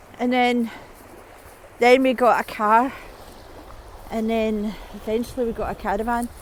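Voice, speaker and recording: A woman talks at a moderate pace with a fairly high pitch and monotone, flat intonation. Long, frequent pauses break up her speech over noticeable background noise. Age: 60s. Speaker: vlogger. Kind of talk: monologue vlog. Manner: halting.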